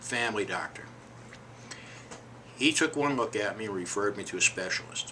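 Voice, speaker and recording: A man speaks with lively intonation. Noticeable background noise can be heard behind him. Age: 60s. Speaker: hip replacement patient. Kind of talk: personal testimony.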